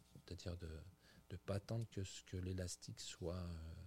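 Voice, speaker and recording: A somewhat breathy man at a fairly slow pace, with fairly even intonation. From France, Burgundy. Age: 50s. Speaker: executive chef. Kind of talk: interview. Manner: halting, many repetitions.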